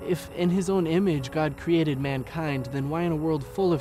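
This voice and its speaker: There is music in the background. Over it, a man speaks at a fairly high pitch. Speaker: spoken word poet. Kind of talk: spoken word poetry performance.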